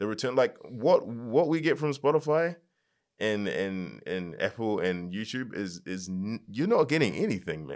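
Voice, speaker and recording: At a moderate pace and in a New Zealand accent, a man talks at a medium pitch that swings very widely. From New Zealand, Nigerian parents. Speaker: music artist. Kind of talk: casual chat.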